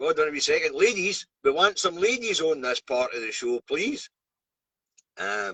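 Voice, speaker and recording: A Scottish accent at a moderate pace, in a dry, close sound with no echo. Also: man. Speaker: truck driver and live streamer. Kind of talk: live stream news review. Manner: casual, chatty.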